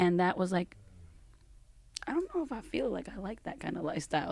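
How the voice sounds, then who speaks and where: A woman's dark, mellow tone. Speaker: DJ. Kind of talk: casual chat.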